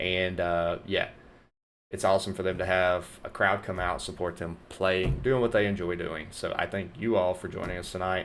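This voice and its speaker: An upbeat man with a North Louisiana accent at a moderate pace, over a very clean recording with a silent background. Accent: Southern US accent, North Louisiana. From US South, North Louisiana. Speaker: esports caster and streamer. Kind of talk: live stream commentary sign-off. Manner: casual, upbeat.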